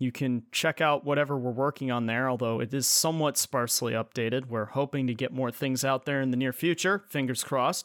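With an ordinary speaking voice, a man talks at a fairly quick pace with hardly any pauses, very even loudness and fairly even intonation, in a very clean recording with a silent background and a dry, close sound with no echo. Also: medium pitch for a man. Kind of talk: casual banter chat. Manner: self-deprecating, joking.

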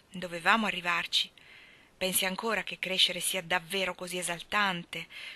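This is plain reading aloud. Pitch contours stay fairly level.

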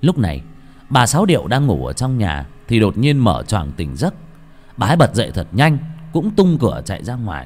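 What we hear is plain reading aloud.

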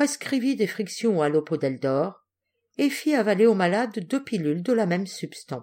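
Plain reading aloud against a quiet background

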